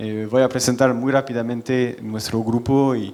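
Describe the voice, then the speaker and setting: In a French accent, a man speaks with a monotone, flat intonation. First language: French (speaking Spanish). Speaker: company general manager, panelist. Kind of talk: conference panel presentation.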